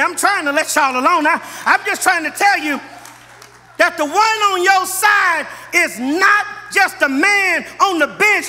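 A man's raised, projected voice at an extremely high pitch, with ordinary pitch variation, a moderate pace and crowd noise in the background. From US West Coast, Los Angeles. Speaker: pastor. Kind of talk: sermon. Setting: church. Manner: animated. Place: church. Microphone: podium.

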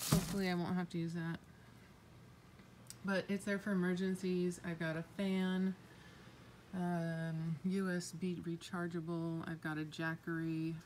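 Over light background noise, a woman talks fairly slowly at a fairly low pitch. Her intonation is monotone and flat, with long pauses that come often. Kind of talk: casual vlog tour. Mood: calm, matter-of-fact. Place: garage. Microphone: phone near.

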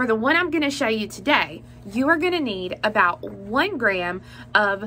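A woman speaks with very wide pitch swings. Light noise sits in the background. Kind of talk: tutorial. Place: home room. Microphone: phone near.

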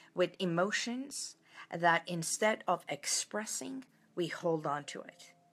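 Lively intonation marks this woman's fairly low-pitched voice. She speaks at a very slow pace. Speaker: wellness coach. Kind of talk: casual live talk to viewers. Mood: warm, reflective, some laughing. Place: home room. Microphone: phone near.

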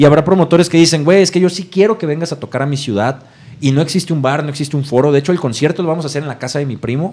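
Somewhat breathy and fairly high in pitch, a man talks at a very fast pace with ordinary pitch variation. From Mexico, Tepic, Nayarit. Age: 30s. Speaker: punk band vocalist. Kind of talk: casual interview chat.

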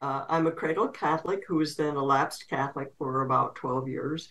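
A woman's very deep, low voice at a fairly quick pace. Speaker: interview guest. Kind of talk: interview answer. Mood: warm, candid, occasionally laughing. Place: home room. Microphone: video call.

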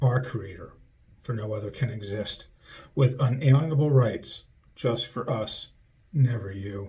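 A somewhat breathy man with a dark, mellow tone and medium pitch speaks at a fairly slow pace. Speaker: conceptual artist. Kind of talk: spoken word art reading. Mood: solemn, ironic declamation. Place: studio. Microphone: webcam.

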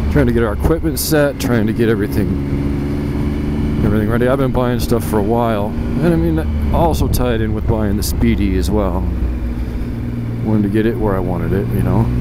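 The speech is fairly quick and dry, without echo, set against loud background noise. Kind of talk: casual vlog chat. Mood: relaxed, looking forward. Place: motorbike. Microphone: helmet.

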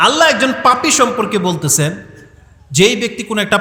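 The voice is loud, with audible room echo around it. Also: man. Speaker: Islamic preacher. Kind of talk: sermon.

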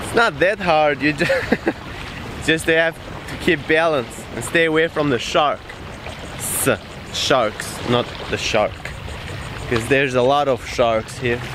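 A man at a fairly slow pace with long, frequent pauses and ordinary pitch variation, in a dry recording with no echo and noticeable background noise. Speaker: travel vlogger. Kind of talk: casual vlog chat. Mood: playful, joking, laughing. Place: beach. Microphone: phone near.

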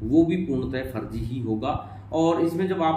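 Over light background noise with audible room echo, a man speaks at a fairly slow pace. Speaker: channel host explaining a scam. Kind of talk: explainer commentary. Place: office.

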